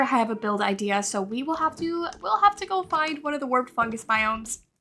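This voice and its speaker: With music in the background, a woman with a high-pitched, raised, projected voice speaks at a moderate pace, animated and with lively intonation. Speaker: gaming youtuber. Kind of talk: gameplay commentary.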